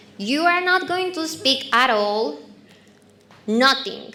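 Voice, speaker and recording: A woman speaks very slowly in a raised, projected voice with a Colombian accent. Her high pitch swings very widely, and there is audible room echo. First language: Spanish. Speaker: marketing speaker. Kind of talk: talk to a live audience with a guided exercise.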